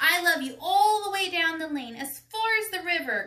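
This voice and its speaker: A woman puts on a character voice with an extremely high pitch. She projects it loudly at a moderate pace. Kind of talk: bedtime story. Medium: read story.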